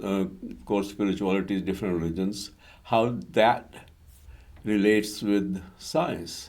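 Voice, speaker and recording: Audible room echo surrounds a man whose dark, mellow voice sits at a fairly low pitch with lively intonation. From India. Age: 80s+. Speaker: retired civil engineer and interfaith author. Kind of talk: interview. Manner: hesitant, many fillers.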